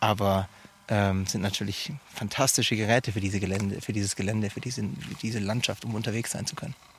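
At a very fast pace, a man with a fairly low, somewhat breathy voice talks with ordinary pitch variation. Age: 30s. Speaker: arctic nature guide. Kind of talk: interview. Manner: halting, frequent ums and repetitions.

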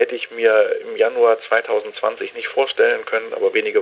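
At a moderate pace, a man speaks with an extremely high pitch and fairly even intonation. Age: 50s. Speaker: physician. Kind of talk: radio interview.

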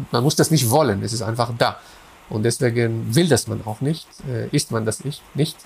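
A man at medium pitch and a moderate pace, with ordinary pitch variation and vocal fry. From Israel, Haifa. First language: Hebrew (speaking German). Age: 40s. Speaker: philosopher of religion. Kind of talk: interview. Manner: halting, many fillers and repetitions.

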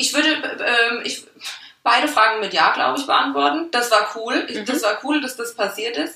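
Noticeable background noise surrounds a woman with fairly high pitch who speaks at a moderate pace. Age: 20s. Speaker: logistics worker and project initiator. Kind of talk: casual interview. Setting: studio, in person.

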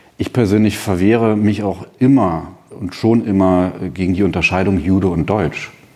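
Here a man speaks at a moderate pace in a fairly low pitch. His tone is dark and mellow. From East Berlin, Germany. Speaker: memorial foundation director, historian. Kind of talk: panel discussion. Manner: hesitant, many fillers.

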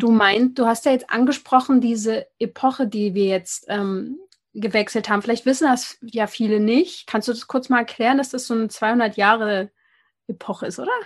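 Over a quiet background, a woman with an unremarkable speaking voice talks at a moderate pace and a fairly high pitch. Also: ordinary pitch variation. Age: 20s. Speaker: podcast host on skin health. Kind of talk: interview. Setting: internet call.

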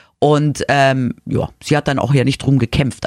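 A woman talks with a very deep, low pitch. The sound is dry and close, with no echo. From Munich, Bavaria (childhood partly in Madrid). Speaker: podcast co-host. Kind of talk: casual chat.

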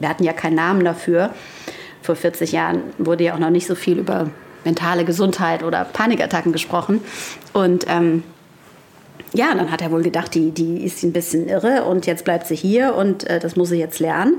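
Over noticeable background noise, a woman speaks at a moderate pace with a fairly low pitch, fairly even intonation and very even loudness. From Frankfurt am Main. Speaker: author and columnist. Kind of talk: casual chat. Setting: remote call from her home.

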